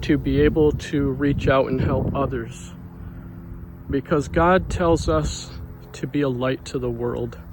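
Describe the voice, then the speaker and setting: A soft-spoken man at a very slow pace, with noticeable background noise. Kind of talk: devotional talk. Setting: outdoors.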